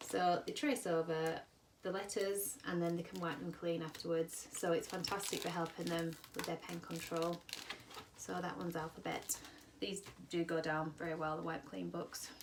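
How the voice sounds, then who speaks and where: A woman with a fairly low voice speaks in a British accent over noticeable background noise. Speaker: children's book seller. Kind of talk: product demonstration. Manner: fast; enthusiastic.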